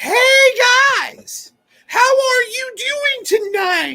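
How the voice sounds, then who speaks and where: Extremely high-pitched, very slowly paced put-on character voice. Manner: fake excited, upbeat.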